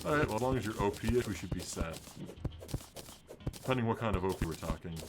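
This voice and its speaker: Talking very fast with ordinary pitch variation, a man with an American accent and a fairly low pitch comes through over noticeable background noise. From Minnesota. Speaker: gaming streamer. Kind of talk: live gameplay commentary. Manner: casual, chatty. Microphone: new mic, audio issues.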